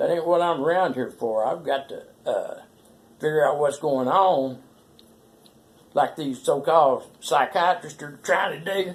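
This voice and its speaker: At a fairly slow pace, a man speaks with an American accent. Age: 60s. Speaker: vlogger telling personal story. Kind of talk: personal monologue. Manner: folksy, rambling.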